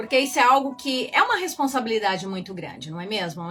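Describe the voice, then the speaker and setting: Music can be heard behind the speaker. She is a woman whose pitch rises and falls in very wide swings. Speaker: spiritual coach and evangelist. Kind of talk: live-stream teaching talk. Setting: live stream on camera.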